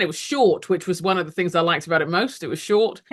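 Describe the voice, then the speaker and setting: A woman speaks at a very fast pace with a London accent. Her pitch is fairly low. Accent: British (London). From London, England (Nigerian parents). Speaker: ministry leader, speaker and author. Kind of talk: interview testimony. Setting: podcast interview.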